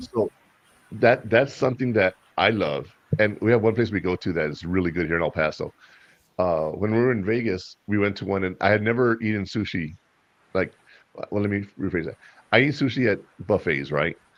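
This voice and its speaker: Speaking with a Spanish accent, a man talks at a fairly quick pace and a fairly low pitch with ordinary pitch variation, broken by long, frequent pauses. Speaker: podcast host. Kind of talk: casual chat.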